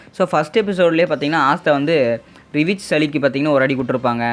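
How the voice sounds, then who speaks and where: A man speaks at a fairly high pitch with ordinary pitch variation. It is a plain, everyday voice. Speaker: anime recap narrator. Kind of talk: anime episode recap narration. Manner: casual, conversational.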